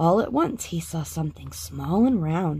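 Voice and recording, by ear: With big pitch swings and vocal fry, a woman talks at a fairly slow pace, low in pitch, her tone slightly mellow.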